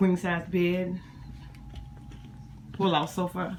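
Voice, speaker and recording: A woman talks very slowly in a fairly low pitch, with noticeable background noise present throughout. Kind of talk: casual cabin tour review to camera.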